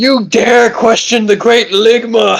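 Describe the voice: A put-on character voice with a fairly high pitch. The delivery moves at a fairly slow pace.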